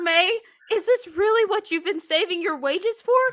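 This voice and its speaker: Delivered at a moderate pace, this put-on character voice sits at an extremely high pitch. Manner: sweet, angelic, reproachful.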